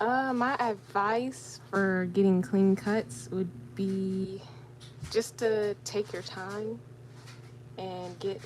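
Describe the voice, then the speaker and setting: A quiet woman's voice, somewhat breathy and fairly low-pitched, with big swings in loudness and very wide pitch swings. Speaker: crafting YouTuber. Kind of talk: live stream Q&A while crafting. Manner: hesitant.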